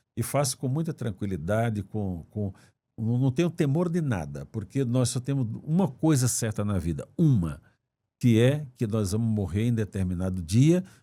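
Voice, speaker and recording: The voice has a dark, mellow tone with very wide pitch swings, delivered at a moderate pace. The recording is very clean, with a silent background. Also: man. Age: 70s. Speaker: former judge running for Senate. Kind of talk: interview. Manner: halting, repeats words.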